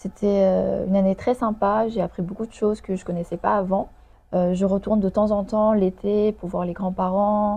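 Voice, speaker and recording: In a Chinese accent, the speaker talks at a moderate pace in a monotone, flat intonation, with a dark, mellow tone, somewhat breathy, against a quiet background. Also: woman, medium pitch for a woman. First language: Chinese (speaking French). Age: 20s. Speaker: lawyer. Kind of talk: interview. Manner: hesitant, many fillers.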